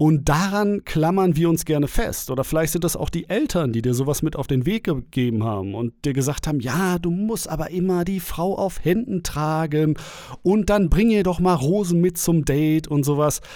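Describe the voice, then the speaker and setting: This man's voice sits fairly high and moves with lively intonation at a moderate pace, recorded very cleanly against a silent background. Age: 30s. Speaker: dating coach and podcast host. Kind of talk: solo podcast monologue. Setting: home recording. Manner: casual, filler-heavy.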